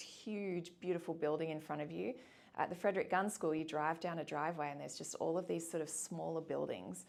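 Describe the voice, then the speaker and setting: A woman talks at a fairly quick pace in an Australian accent. Her pitch is fairly low and her intonation fairly even. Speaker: boarding school admissions officer. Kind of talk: interview. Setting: office.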